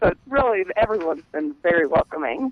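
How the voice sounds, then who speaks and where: Against noticeable background noise, a woman with a Louisiana accent talks at a fairly quick pace, her pitch swinging very widely. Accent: Southern US, Louisiana. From US South, Louisiana. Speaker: coupon blogger. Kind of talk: casual radio interview.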